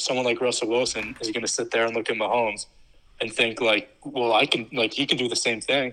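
A man speaks at a fairly quick pace. His tone is bright and sharp, with a medium pitch. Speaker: podcast co-host guest. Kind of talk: casual chat.

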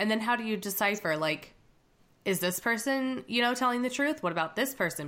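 The delivery is animated and fairly quick, in a bright, sharp tone. The recording is very clean, with a silent background. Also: woman. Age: 30s. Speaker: podcast host, military spouse. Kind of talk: casual interview chat.

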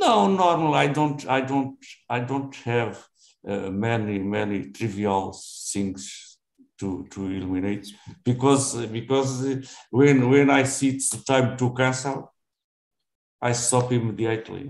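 A man with a Portuguese accent talks at a very slow pace, leaving long, frequent pauses. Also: medium pitch for a man, ordinary pitch variation. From Portugal. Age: 70s. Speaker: retiree practicing English. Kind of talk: casual conversation practice. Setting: video call. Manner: halting.

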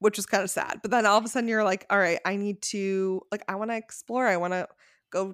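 With an American accent, a woman with an unremarkable speaking voice talks at a fairly quick pace in a medium pitch with fairly even intonation, in a very clean recording with a silent background. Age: 20s. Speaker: podcast co-host. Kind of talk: casual chat.

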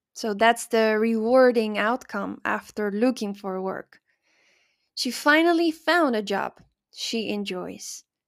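On a very clean recording with a silent background, a woman speaks at a very slow pace. Her pitch is fairly high, with ordinary variation. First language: Spanish. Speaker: English teacher podcaster. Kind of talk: language lesson.

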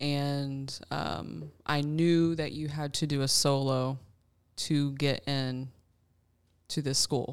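A woman with a Southern US accent, very deep and low in pitch, at a very slow pace with fairly even intonation, on a very clean recording with a silent background. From Alabama. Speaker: church worship leader and bassist. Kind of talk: casual round-table chat.

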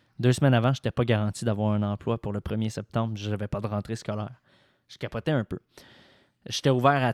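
Speaking fairly quickly in a Quebec accent, a man with a medium pitch uses fairly even intonation, long and frequent pauses, and big swings in loudness, recorded very cleanly against a silent background with a dry, close sound and no echo. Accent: Québécois French. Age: 20s. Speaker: sports journalist. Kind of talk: casual interview.

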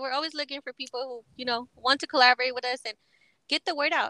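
A woman with a high pitch talks very fast in a raised, projected voice, her tone bright and sharp, her intonation fairly even, and the sound dry and close with no echo. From Texas. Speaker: podcast host. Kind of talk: casual interview.

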